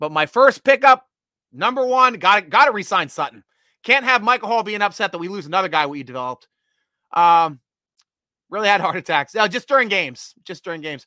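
With an American accent, a man speaks fairly quickly in a raised, projected voice at a high pitch, his pitch swinging very widely and his loudness swinging greatly. The tone is animated, bright and sharp, with a dry, close sound and no echo. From Pennsylvania (Williamsport). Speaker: NFL fan podcast host. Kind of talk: casual live-stream sports talk. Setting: live video stream with chat.

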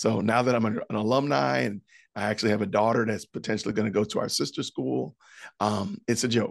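Lively intonation and vocal fry in an American accent, at a fairly quick pace, with a dry, close sound and no echo. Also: man, fairly low pitch for a man. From Illinois, Chicago suburbs. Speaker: podcaster and former school teacher. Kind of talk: testimony interview.

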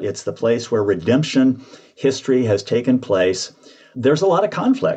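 A man with an American accent talks at a moderate pace and a medium pitch. He has a plain, everyday voice. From US South, central Georgia. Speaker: retired seminary professor and author. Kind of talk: interview.

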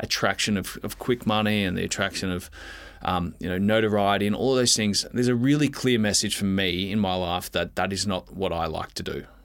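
A fairly low-pitched male voice with an Australian accent, fairly quick in pace, with ordinary pitch variation. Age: 20s. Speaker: retired footballer. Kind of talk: casual chat.

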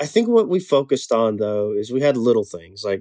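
Dark and mellow in tone, a medium-pitched man with an Alabama accent talks at a fairly quick pace with lively intonation, in a dry, close sound with no echo. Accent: US Southern (Alabama). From Alabama, Chelsea near Birmingham. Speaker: soul singer and band frontman. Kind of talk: casual interview. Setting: studio in Birmingham.

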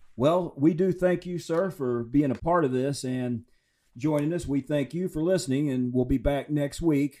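At a moderate pace, a man speaks in a plain, everyday voice, fairly high in pitch with ordinary pitch variation. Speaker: podcast host. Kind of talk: interview conversation.

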